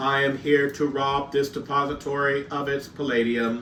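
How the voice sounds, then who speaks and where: Using a put-on character voice with a fairly high pitch, a man speaks in a monotone, flat way over clear background noise. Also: moderate pace. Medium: read story. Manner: stiff and formal.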